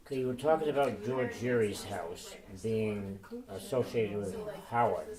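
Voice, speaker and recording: A man speaks at a moderate pace and medium pitch, with ordinary pitch variation. Noticeable background noise runs under his voice. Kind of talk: interview questions.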